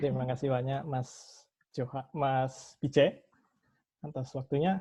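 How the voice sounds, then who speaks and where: Against a quiet background, the voice is somewhat breathy with a dark, mellow tone. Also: man. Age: 20s. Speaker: student, president candidate. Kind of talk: candidate self-introduction at a meeting. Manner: halting, many self-corrections.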